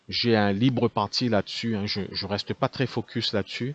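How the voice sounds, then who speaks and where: In a Réunion accent, a man with a fairly low pitch speaks at a moderate pace with ordinary pitch variation, the sound dry and close with no echo. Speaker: call center owner. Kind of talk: business talk to camera. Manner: unscripted, many hesitations.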